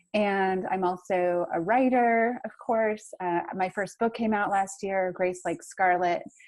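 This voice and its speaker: Speaking with an American accent, a woman keeps a medium pitch and fairly even intonation. Her pace is very slow, yet there are hardly any pauses. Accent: American, kept despite 20 years in Australia. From United States. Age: 40s. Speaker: author. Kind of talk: interview. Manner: many fillers and restarts.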